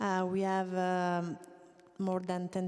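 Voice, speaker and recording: A woman's medium-pitched voice with an Italian accent. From Italy. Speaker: co-operative federation manager. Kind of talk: panel discussion. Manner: halting.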